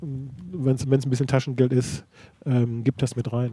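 Here a man speaks at a fairly slow pace in a medium pitch. His intonation is fairly even, and his tone is dark and mellow. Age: 60s. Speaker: equestrian federation president. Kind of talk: interview. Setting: in-person meeting. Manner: halting, frequent repetitions.

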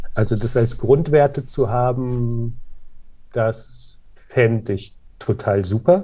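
Speaking very slowly with long, frequent pauses, a man uses a somewhat breathy voice of medium pitch and dark, mellow tone, with ordinary pitch variation. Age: 40s. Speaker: clothing company co-founder. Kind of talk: interview. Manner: hesitant, many fillers.

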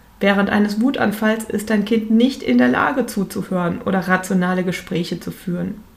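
Noticeable background noise sits under a voice moving at a moderate pace with hardly any pauses and ordinary pitch variation. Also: woman, medium pitch for a woman. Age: 40s. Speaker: parenting coach podcaster. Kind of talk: solo podcast monologue.

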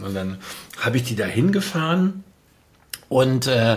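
A man's intonation is lively as he talks fairly slowly amid noticeable background noise. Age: 50s. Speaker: music producer and storytelling consultant. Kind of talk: casual chat.

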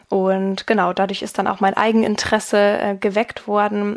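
A woman speaks in a medium pitch at a moderate pace. Her intonation is monotone and flat. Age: 20s. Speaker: mediator and working student. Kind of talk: interview.

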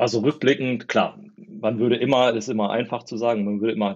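Speaking at a moderate pace, a man uses a plain, everyday voice at a medium pitch with ordinary pitch variation. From northern Germany, East Westphalia (Porta Westfalica). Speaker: tech company founder. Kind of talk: interview.

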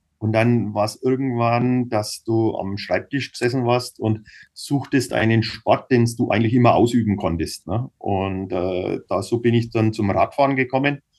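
A man's normal speaking voice at medium pitch, fairly slow with hardly any pauses and fairly even intonation. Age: 50s. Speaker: cycling team manager and businessman. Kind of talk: casual interview.

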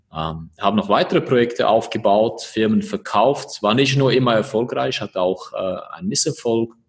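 A man talks at a moderate pace with hardly any pauses. His pitch swings very widely. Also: medium pitch for a man. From eastern Switzerland, born in Croatia. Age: 30s. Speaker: entrepreneur. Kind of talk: interview. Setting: video call.

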